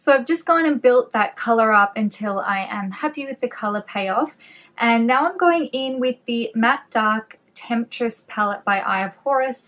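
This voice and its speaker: Woman in an Australian accent, fairly high-pitched, with lively intonation at a moderate pace, on a very clean recording with a silent background. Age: 30s. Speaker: beauty vlogger. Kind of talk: casual chatty makeup tutorial.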